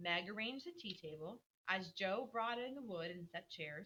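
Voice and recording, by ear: Reading aloud in a natural voice, with lively intonation, over a quiet background.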